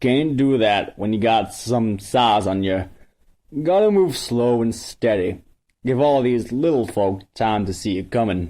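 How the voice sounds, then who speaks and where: A put-on character voice drawls at a fairly slow pace. The recording is very clean, with a silent background. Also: man, medium pitch for a man. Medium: read story. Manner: slow, drawling.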